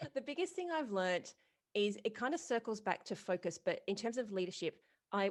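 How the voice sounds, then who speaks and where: Against a quiet background, a woman with an Australian accent talks at a fairly quick pace. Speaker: retail business coach and podcast host. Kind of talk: podcast interview.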